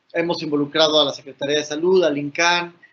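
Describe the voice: A man talks in a fairly bright tone at a fairly high pitch. There is little pitch movement.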